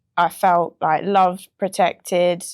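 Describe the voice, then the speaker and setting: In a British accent, a woman speaks at a very slow pace on a very clean recording with a silent background. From England, North London. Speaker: music producer. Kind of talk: interview.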